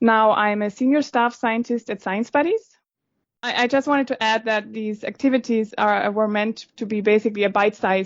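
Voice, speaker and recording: Moderate pace and ordinary pitch variation, with a German accent. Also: woman. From Germany. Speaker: scientist. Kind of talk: podcast interview.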